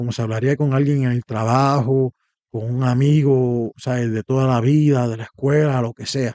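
Talking at a fairly quick pace, a man keeps a medium pitch. His intonation is monotone and flat. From Puerto Rico. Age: 30s. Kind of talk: monologue about faith. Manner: halting, many fillers.

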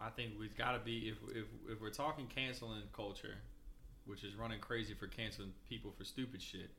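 The tone is bright and sharp, with vocal fry. Intonation stays fairly even. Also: man, medium pitch for a man. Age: 30s. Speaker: podcast co-host. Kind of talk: casual chat.

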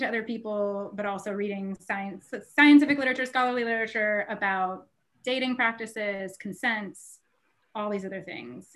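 A woman's fairly high, a plain, everyday voice at a fairly quick pace with ordinary pitch variation. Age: 40s. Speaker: podcast co-host, sex educator. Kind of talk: casual chat.

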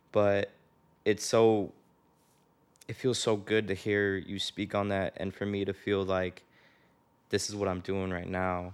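Delivered in a Chicago accent, the speech moves at a fairly slow pace with long, frequent pauses and monotone, flat intonation. The recording is very clean, with a silent background. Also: man, fairly low pitch for a man. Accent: general American, Chicago-area. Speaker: podcast host. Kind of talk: casual interview conversation.

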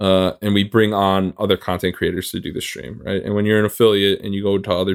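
Monotone and flat, a man with a fairly low pitch rushes along at a very fast pace. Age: 20s. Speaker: streamer. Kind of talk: casual chat.

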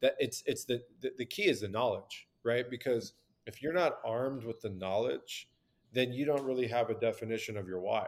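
A man speaks with an American accent. His pace is fairly quick, with ordinary pitch variation. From Southern California. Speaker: supplement company founder. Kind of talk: casual interview. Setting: video call.

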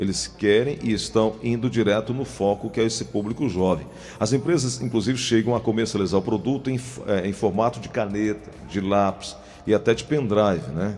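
Moderate pace from a man with an unremarkable speaking voice, fairly low pitch and ordinary pitch variation. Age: 50s. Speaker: TV/radio health segment host. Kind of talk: interview.

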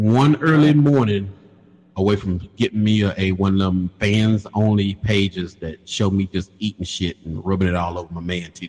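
Speaking at a moderate pace with a Carolinas accent, a man uses a fairly low pitch and ordinary pitch variation. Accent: Southern US (Carolinas). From US South, Lancaster, South Carolina. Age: 40s. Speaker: podcast host, truck driver. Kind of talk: casual chat. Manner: animated, laughing.

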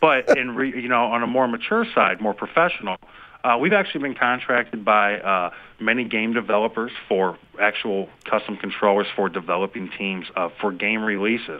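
A man talks with a normal speaking voice. His pitch is medium and his pace moderate. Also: ordinary pitch variation. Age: 30s. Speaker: senior designer at a custom game controller company. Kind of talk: interview.

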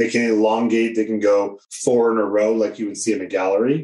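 A dark, mellow tone marks this man's voice. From New Hampshire. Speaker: portrait photographer, professional association president. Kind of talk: casual interview conversation.

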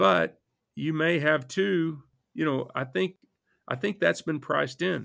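With a Texan accent and a bright, sharp tone, a man speaks with long, frequent pauses in a very clean recording with a silent background. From Texas panhandle. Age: 50s. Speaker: hedge fund manager. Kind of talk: interview. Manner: halting.

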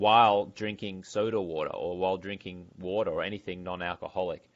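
This man has a fairly low pitch and an Australian accent, speaking at a moderate pace with ordinary pitch variation. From Brisbane, Australia. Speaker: entrepreneur and former sports TV anchor. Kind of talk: interview.

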